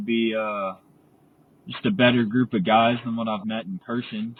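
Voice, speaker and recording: With a Texan accent, a man speaks at a moderate pace and medium pitch with ordinary pitch variation. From Texas, Amarillo. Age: 20s. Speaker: community member. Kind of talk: casual interview.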